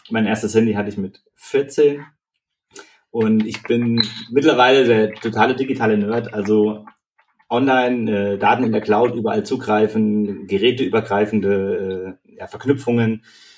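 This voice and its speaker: Music plays behind a man speaking at medium pitch with fairly even intonation. His pace is moderate, and his loudness swings widely. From Eisenach area, Thuringia, Germany. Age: 30s. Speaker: startup co-founder, hardware developer. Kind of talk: casual interview.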